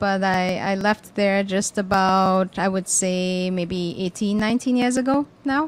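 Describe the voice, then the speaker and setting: Speaking with a Trinidad and Tobago accent, the voice keeps a very even loudness at a fairly slow pace, with hardly any pauses and ordinary pitch variation. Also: woman, medium pitch for a woman. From Tobago, Trinidad and Tobago. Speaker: cricket board player director. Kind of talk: commentary-box interview. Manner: hesitant, many fillers.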